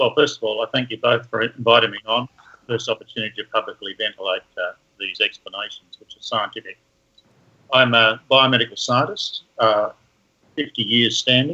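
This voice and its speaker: A man with an Australian accent speaks at a moderate pace. His loudness swings widely. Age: 70s. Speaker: professor. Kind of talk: interview.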